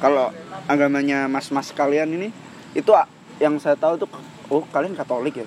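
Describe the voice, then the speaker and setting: A man with a fairly high pitch and ordinary pitch variation talks at a fairly quick pace. He leaves long, frequent pauses, and noticeable background noise is present. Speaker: podcast co-host. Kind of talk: casual chat.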